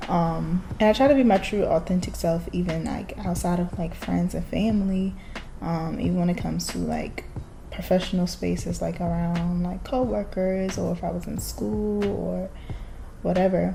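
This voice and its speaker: Audible room echo and noticeable background noise accompany speech delivered at a moderate pace. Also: woman. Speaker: vlogger. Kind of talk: casual monologue. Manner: halting.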